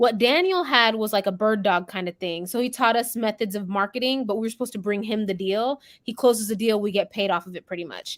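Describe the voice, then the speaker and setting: A woman with an American accent talks at a very fast pace with hardly any pauses. Her pitch is fairly high, and the recording is very clean with a silent background. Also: ordinary pitch variation. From Las Vegas, US. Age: 20s. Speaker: real estate wholesaler. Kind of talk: live interview. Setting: livestream.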